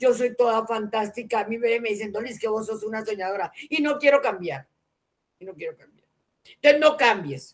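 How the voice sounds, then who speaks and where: The woman's voice sits fairly high in pitch. Its pitch variation is ordinary. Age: 60s. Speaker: interview show host. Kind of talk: interview. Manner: animated.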